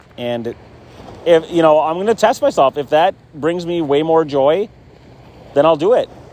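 Here a man talks at a fairly high pitch and a moderate pace, with ordinary pitch variation. He leaves long, frequent pauses. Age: 40s. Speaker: podcaster and musician. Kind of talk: casual solo monologue. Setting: outdoors on a beach.

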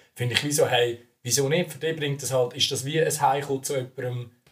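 A man's somewhat breathy voice moves along fairly quickly, its intonation fairly even. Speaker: student podcast co-host. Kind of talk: casual chat.

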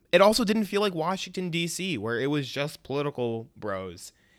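The voice carries a Chicago-area accent and very wide pitch swings. The recording is very clean, with a silent background. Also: man. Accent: Chicago-area American English. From US Midwest, Chicago suburbs. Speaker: podcast host, civic technologist. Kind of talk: personal story monologue. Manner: casual.

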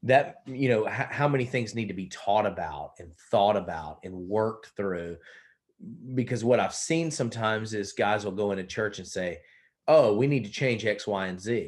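Someone with a Southern US accent speaks at a moderate pace, with big swings in loudness. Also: man, fairly low pitch for a man, ordinary pitch variation. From South Carolina. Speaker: pastor. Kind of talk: casual interview conversation.

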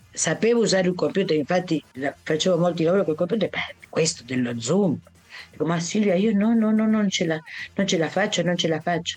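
Music plays behind a woman of fairly low pitch who talks at a fairly quick pace with very even loudness and ordinary pitch variation. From Argentina, Buenos Aires. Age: 70s. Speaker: Italian teacher. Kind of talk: interview.

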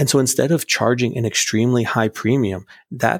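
A man with an American accent speaks in a normal speaking voice at a medium pitch, with ordinary pitch variation. The sound is dry and close with no echo, and the recording is very clean with a silent background. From United States. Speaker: physician assistant and crypto enthusiast. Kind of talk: casual interview.

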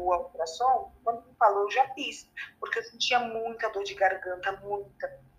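Her voice is high-pitched, and the woman's tone comes across bright and sharp. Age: 20s. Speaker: cancer patient. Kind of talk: testimony.

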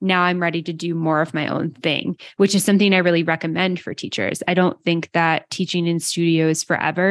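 A woman talks at a fairly quick pace in a fairly low, monotone voice with flat intonation. The sound is dry and close, with no echo. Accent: Canadian. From Western Canada, small town. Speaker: yoga business podcaster. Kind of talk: interview conversation. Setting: video call.

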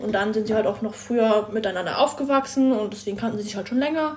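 Her voice fairly high, a woman speaks with ordinary pitch variation over noticeable background noise. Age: 20s. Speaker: trainee car mechatronics technician. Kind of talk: casual chat.

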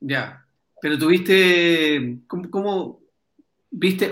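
A man's high-pitched voice in a Chilean accent. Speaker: podcast host. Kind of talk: casual chat.

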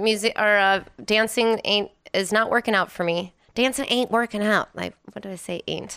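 A woman with an American accent and a fairly high pitch speaks at a moderate pace in a bright, sharp tone, her intonation fairly even, on a very clean recording with a silent background. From Wisconsin, US Midwest. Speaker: DJ and vintage clothing reseller. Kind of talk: casual chat.

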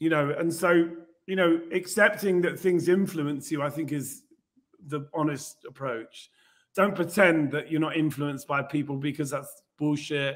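This man has an unremarkable speaking voice, pitched fairly high, and his intonation stays fairly even. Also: moderate pace. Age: 60s. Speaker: musician and visual artist. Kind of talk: casual chat. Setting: video call.

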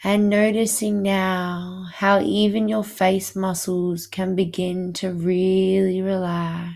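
On a very clean recording with a silent background, a woman of medium pitch speaks very slowly in a soothing tone with a flat monotone. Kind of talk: guided hypnosis meditation. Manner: slow, soothing, hypnotic, repetitive pacing; calm, soft-spoken.

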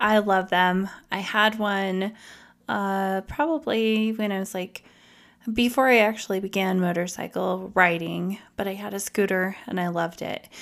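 The speaker has a plain, everyday voice. The recording is very clean, with a silent background. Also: woman. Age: 30s. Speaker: podcast host. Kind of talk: solo podcast monologue.

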